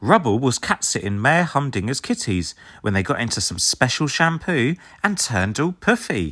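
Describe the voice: A man talks at a moderate pace with a medium pitch, a bright, sharp tone and big pitch swings, on a very clean recording with a silent background.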